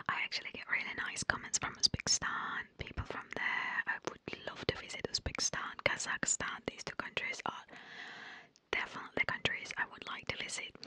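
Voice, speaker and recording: In a soft-spoken whisper, a woman talks at a fairly quick pace with big swings in loudness, in a dry sound with no echo. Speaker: language content creator. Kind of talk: soft casual commentary, ASMR-like. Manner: soft close-mic ASMR whisper. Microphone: studio mic.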